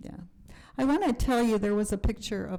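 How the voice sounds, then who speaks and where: A woman's voice comes through with a dark, mellow tone. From US, raised in a survivors' community. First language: German and Yiddish. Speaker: Holocaust educator and speaker. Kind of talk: Q&A after a talk.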